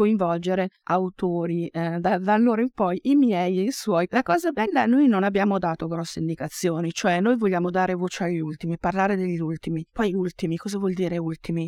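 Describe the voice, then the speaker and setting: With hardly any pauses, a woman speaks at a fairly quick pace and medium pitch with ordinary pitch variation, on a very clean, dry, close recording with no echo and a silent background. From Oltrepò Pavese, Lombardy, Italy. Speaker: anthology editor and writer. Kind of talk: reading aloud. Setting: stage with audience.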